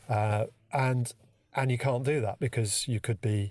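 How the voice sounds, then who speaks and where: In a very clean recording with a silent background, a man at medium pitch speaks at a fairly slow pace in a London accent, sounding somewhat breathy. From London, England. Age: 50s. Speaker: conceptual artist. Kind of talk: casual chat.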